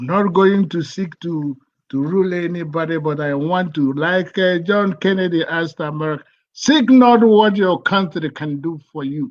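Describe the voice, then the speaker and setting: A man with a Nigerian accent speaks at a high pitch in an animated tone. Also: ordinary pitch variation, moderate pace. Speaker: pastor and activist. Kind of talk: impassioned speech in live broadcast. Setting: live stream broadcast. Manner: animated, repetitive.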